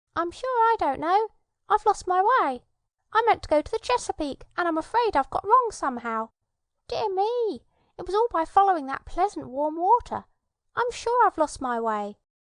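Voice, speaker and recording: A squeaky, put-on character voice from a woman, pitched extremely high. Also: moderate pace. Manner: worried, confused.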